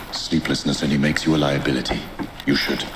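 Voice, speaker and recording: A man's put-on character voice at a very fast pace, with clear echo and loud background noise. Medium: short film. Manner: dry, measured.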